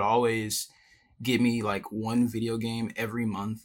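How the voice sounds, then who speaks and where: Here is a man with an American accent and a plain, everyday voice. He talks at medium pitch and a moderate pace. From Richmond, Virginia, US. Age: 20s. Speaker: illustrator and independent animator. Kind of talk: casual interview. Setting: video call.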